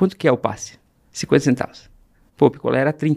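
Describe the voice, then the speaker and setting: A man talks at a fairly high pitch with fairly even intonation. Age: 40s. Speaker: entrepreneur. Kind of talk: interview storytelling.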